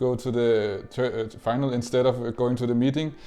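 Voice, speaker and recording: A man speaks at a moderate pace with a Danish accent, his pitch medium and his intonation fairly even. His tone is dark and mellow. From Denmark. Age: 20s. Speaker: esports player. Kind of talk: interview. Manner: halting, many fillers and repeats.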